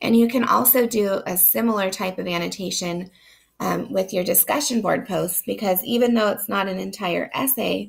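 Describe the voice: Her medium-pitched voice carries vocal fry and a slightly husky edge, from a woman speaking. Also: ordinary pitch variation, moderate pace.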